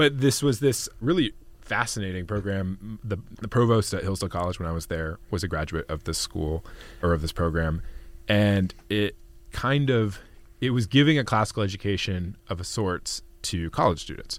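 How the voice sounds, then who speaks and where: A man with an American accent speaks in a normal speaking voice, fairly low in pitch, with lively intonation at a moderate pace. The recording is very clean, with a silent background. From US Pacific Northwest. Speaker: policy researcher and writer. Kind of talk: podcast interview.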